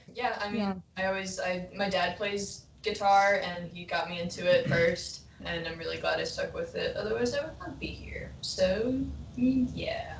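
With an American accent, a woman talks at a moderate pace amid noticeable background noise and audible room echo. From Long Island, New York. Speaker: rock band member. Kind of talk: casual chat. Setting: video call.

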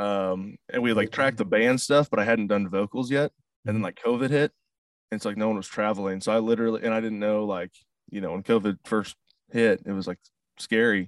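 A man with a Midwestern US accent talks at a very fast pace, his pitch fairly low and his intonation fairly even. The sound is dry and close with no echo, over a quiet background. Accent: US Midwest. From St. Louis, Missouri, US Midwest. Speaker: country singer-songwriter. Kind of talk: casual interview. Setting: video call.

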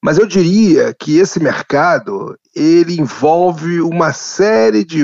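At a very slow pace, a man speaks. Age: 60s. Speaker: anthropologist, professor. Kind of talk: interview.

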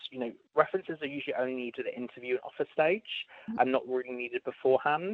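A man with a British accent, fairly high in pitch, talking at a very fast pace with lively intonation. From UK. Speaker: talent acquisition advisor. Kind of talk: interview Q&A. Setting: phone or video call.

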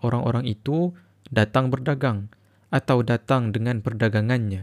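A man with a plain, everyday voice at medium pitch and moderate pace, ordinary pitch variation, dry, close sound with no echo. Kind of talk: audiobook reading aloud of a historical political text. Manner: formal, measured, even-paced literary delivery.

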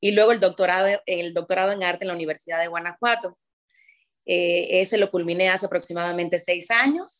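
It is a plain, everyday voice with ordinary pitch variation. The pace is fairly quick. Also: woman. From Cuba (Havana). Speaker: ballet teacher and former dancer. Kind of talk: interview.

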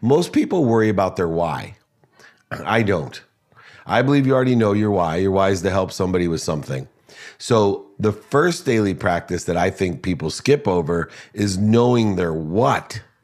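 An energetic man with fairly low pitch speaks at a moderate pace with lively intonation. The recording is very clean and the background silent. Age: 50s. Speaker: motivational speaker and entrepreneur. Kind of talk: interview.

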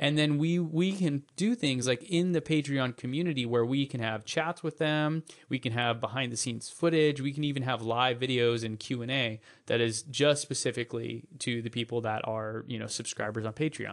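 The man talks at a moderate pace with medium pitch and ordinary pitch variation. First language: English (learning Spanish). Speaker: podcast co-host, language learner. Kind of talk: casual chat. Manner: halting in Spanish.

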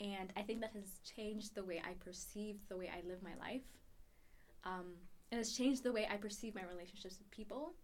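A woman speaks fairly quickly at a medium pitch, with ordinary pitch variation. Her loudness swings widely, and room echo is audible. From Ethiopia. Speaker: university student. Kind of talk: interview.

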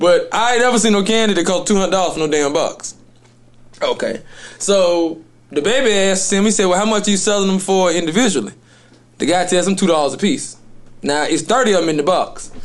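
Animated in tone, a high-pitched man speaks at a fairly quick pace. His loudness stays very even, and his pitch varies in an ordinary way. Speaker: podcast host. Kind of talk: casual chat.

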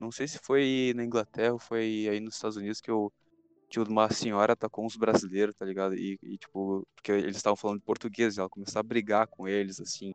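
The sound is dry and close with no echo as a man talks at a very fast pace in a fairly low pitch with monotone, flat intonation. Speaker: podcast host. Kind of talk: casual chat.

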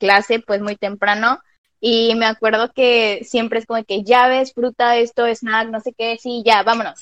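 Speaking at a fairly slow pace, a woman with a plain, everyday voice and a fairly high pitch comes through with a dry, close sound with no echo. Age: 20s. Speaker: dance student. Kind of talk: casual interview chat. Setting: online voice call.

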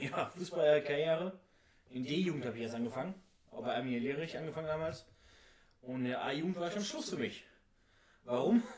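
Over noticeable background noise, a man with a fairly high pitch talks at a fairly quick pace with ordinary pitch variation and long, frequent pauses. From Oberhausen, Ruhr area, Germany. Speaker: amateur footballer and wrestler. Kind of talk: casual chat.

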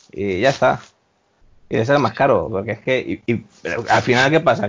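A man with a normal speaking voice uses lively intonation at a medium pitch. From Spain, Valencia. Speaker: hospitality worker. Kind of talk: casual chat.

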